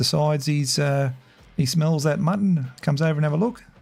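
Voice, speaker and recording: The speaker talks with an Australian accent. Music plays in the background. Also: man. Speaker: gaming streamer. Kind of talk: casual chat. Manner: halting.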